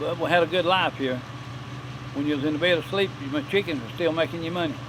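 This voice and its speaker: Over noticeable background noise, the speaker talks at a very fast pace with a North Carolina accent and ordinary pitch variation. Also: man, fairly high pitch for a man. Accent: rural Southern US (North Carolina). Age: 70s. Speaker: farmer and potter. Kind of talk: interview storytelling.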